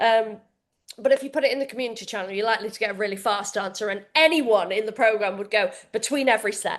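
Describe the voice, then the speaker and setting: In a British accent, a woman speaks at a very fast pace with a fairly high pitch and ordinary pitch variation. Her loudness swings widely against a quiet background. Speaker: fitness coach. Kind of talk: live coaching session for members.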